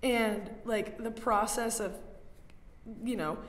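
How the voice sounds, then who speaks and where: A woman with an American accent speaks in an animated tone at a fairly high pitch. Audible room echo surrounds her voice. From US South, North Carolina. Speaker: art student. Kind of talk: casual chat.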